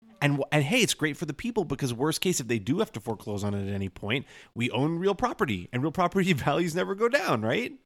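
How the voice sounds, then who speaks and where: A man with a fairly high pitch and vocal fry talks at a very fast pace with hardly any pauses and very wide pitch swings, in a very clean recording with a silent background. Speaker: podcast co-host. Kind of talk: casual chat.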